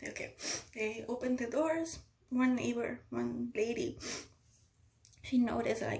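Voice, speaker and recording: Her pitch is high for a woman. She speaks at a moderate pace. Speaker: stroke survivor sharing her story. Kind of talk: personal testimony vlog. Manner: halting, with repetitions.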